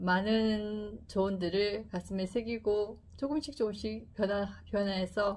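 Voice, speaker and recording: Somewhat breathy and calm in tone, a woman talks at a medium pitch. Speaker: YouTuber presenting books. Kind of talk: book talk to camera. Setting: filming a video. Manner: slow, calm speech; stiff, like reading a newspaper.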